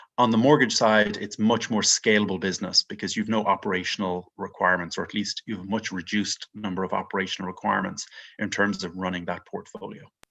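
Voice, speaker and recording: A man with an Irish accent and a fairly low pitch talks at a very fast pace with hardly any pauses, fairly even intonation and big swings in loudness against a quiet background. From Ireland, Dublin. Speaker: mortgage investment executive. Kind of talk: podcast interview.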